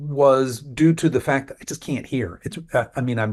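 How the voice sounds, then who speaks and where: A man with an unremarkable speaking voice talks at medium pitch and a moderate pace with ordinary pitch variation, on a very clean recording with a silent background. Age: 50s. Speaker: nutrition coach and personal trainer. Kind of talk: interview answer.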